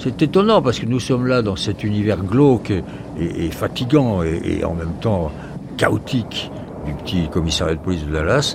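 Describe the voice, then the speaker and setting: A man speaks with lively intonation at a moderate pace, noticeable background noise running beneath him. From France. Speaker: journalist. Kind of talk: testimony.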